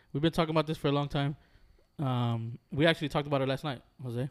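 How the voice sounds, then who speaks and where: Medium pitch from a man, very clean recording, silent background. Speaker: podcast host. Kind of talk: casual chat. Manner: animated.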